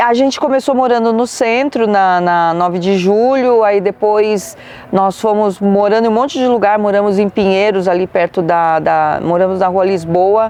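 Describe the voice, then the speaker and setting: This woman has an unremarkable speaking voice at medium pitch, with ordinary pitch variation and very even loudness. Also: moderate pace. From Brazil, São Paulo state (Carapicuíba, interior). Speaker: radio announcer. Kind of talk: interview.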